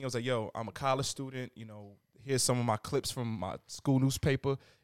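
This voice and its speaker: With a New York accent, a man talks at a fairly quick pace in a medium pitch with ordinary pitch variation, the sound dry and close with no echo on a very clean recording with a silent background. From New York, Queens. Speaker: music journalist and tastemaker. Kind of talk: casual chat turning into heated debate.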